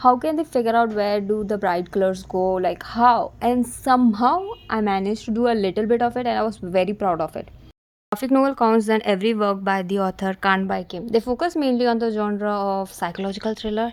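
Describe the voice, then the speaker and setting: A woman with an Indian accent talks at a fairly quick pace. Her pitch is fairly high, with ordinary variation. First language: Hindi. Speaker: digital artist and streamer. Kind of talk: casual Q&A vlog. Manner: animated.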